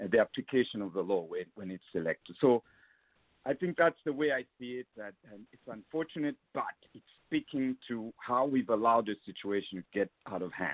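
A man speaks in a normal speaking voice at medium pitch and a fairly quick pace. His intonation is lively, with big swings in loudness. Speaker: caller. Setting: phone call.

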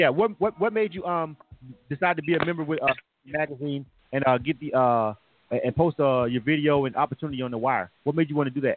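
The speaker is a man with a fairly high pitch and ordinary pitch variation. He talks at a very fast pace. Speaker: radio host. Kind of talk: live radio interview. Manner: animated.

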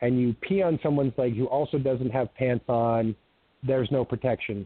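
In an American accent, a man speaks at a medium pitch and a moderate pace. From US Pacific Northwest (Eugene, Oregon). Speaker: self-described military officer, disclosure speaker. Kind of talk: radio interview. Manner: halting, many fillers.

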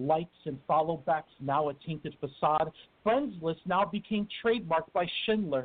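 Using an ordinary speaking voice, this man keeps a moderate pace, his pitch fairly high and his pitch variation ordinary. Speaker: poet, author. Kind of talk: poetry reading. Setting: phone call.

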